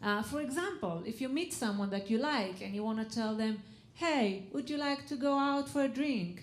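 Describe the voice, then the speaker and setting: At a moderate pace, a woman with an Israeli accent speaks in a fairly high pitch with very wide pitch swings, and audible room echo surrounds her. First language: Hebrew. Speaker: comedian. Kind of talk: stand-up. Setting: stage with audience.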